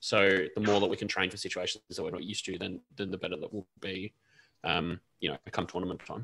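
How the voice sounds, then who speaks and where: A man with an Australian accent, very deep, low pitch, bright, sharp tone, fairly even intonation and fairly quick pace, in a dry, close sound with no echo. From Canberra, Australia. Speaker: women's football podcast panelist. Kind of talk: casual chat.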